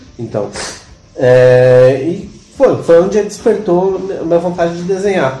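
With very wide pitch swings in a high voice, a man speaks at a fairly slow pace amid audible room echo and noticeable background noise. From São Paulo, Brazil (Ipiranga). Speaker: illustrator and teacher. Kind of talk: casual chat.

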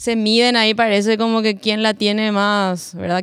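A moderate pace in a Paraguayan accent, with fairly even intonation, in a very clean recording with a silent background. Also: woman. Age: 30s. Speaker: singer-songwriter. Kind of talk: roundtable conversation. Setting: cultural centre recording.

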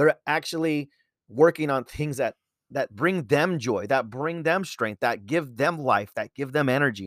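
A man with an American accent and a plain, everyday voice, fairly high in pitch, with lively intonation at a fairly slow pace, in a very clean recording with a silent background and a dry, close sound with no echo. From Southern California (Chula Vista, San Diego). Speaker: podcast host and teacher. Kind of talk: solo podcast talk. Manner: frequent fillers (uh, um).

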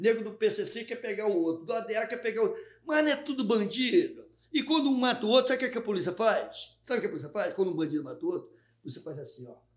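A man's extremely high-pitched voice at a very fast pace, with very wide pitch swings and big swings in loudness. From Rio de Janeiro, Maré favela. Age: 60s. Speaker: comedian. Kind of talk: casual chat.

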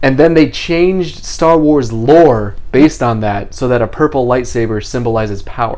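Over noticeable background noise, the speech moves at a moderate pace with ordinary pitch variation and hardly any pauses. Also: man, medium pitch for a man. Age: 30s. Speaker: podcast host. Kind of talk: casual chat.

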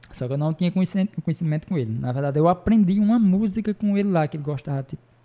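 Talking very fast with lively intonation, a man has a somewhat breathy voice and a dark, mellow tone. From Ceará, Brazil. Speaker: bar owner and show promoter. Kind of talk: casual chat.

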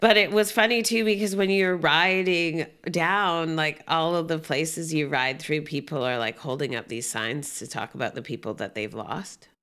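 With a Canadian accent and a normal speaking voice, a woman speaks at a moderate pace and a fairly low pitch, her intonation lively. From Canada, British Columbia (Gibsons). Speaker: guest sharing illness experience. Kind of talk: casual chat.

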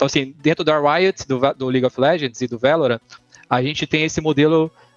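Fairly high in pitch, a man with an unremarkable speaking voice talks at a fairly quick pace with ordinary pitch variation. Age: 30s. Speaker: esports company co-founder. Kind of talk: casual interview chat.

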